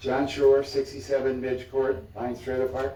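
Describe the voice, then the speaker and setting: There is noticeable background noise. A man with a medium pitch speaks at a fairly quick pace. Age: 80s+. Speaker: trailer park resident speaking at public comment. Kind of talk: public comment at city meeting. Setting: city commission chambers.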